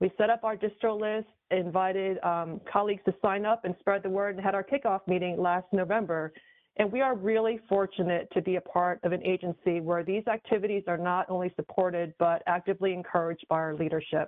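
Speaking in an American accent at a fairly quick pace, a woman with an ordinary speaking voice keeps a medium pitch and fairly even intonation. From New York. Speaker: government employee. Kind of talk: podcast interview.

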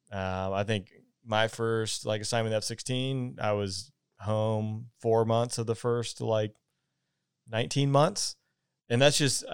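On a very clean recording with a silent background, a man with a Southern US accent speaks at a moderate pace, with medium pitch and fairly even intonation. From US South, Georgia. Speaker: podcast host, former fighter pilot. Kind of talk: interview.

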